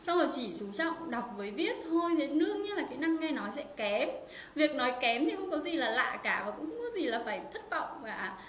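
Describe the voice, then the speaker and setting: Fairly quick speech with very wide pitch swings and hardly any pauses comes through audible room echo and light background noise. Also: woman, high pitch for a woman. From Vietnam. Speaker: Chinese language teacher. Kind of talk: live-streamed language lesson. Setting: livestream online. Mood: warm, encouraging. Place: home room. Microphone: webcam.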